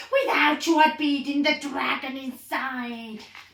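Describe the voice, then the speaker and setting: A put-on character voice carries the speech. It moves at a moderate pace. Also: woman, high pitch for a woman. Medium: read story.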